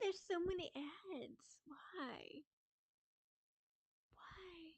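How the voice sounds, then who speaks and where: This voice moves at a very slow pace with ordinary pitch variation. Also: woman, extremely high pitch for a woman. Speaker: streamer. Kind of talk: casual chat. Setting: live stream.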